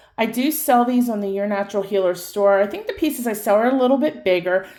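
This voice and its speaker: A woman speaks loudly. Her pitch is fairly high. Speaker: crystal shop owner and tarot reader. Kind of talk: casual chat to viewers.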